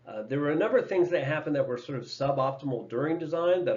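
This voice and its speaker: A man speaks at a very fast pace. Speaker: energy engineer presenting case studies. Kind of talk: presentation.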